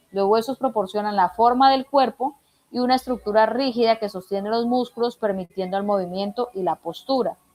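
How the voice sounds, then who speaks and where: A woman with an ordinary speaking voice talks at a fairly quick pace in a fairly high pitch, with ordinary pitch variation. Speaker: instructor. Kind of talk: online lecture. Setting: video call.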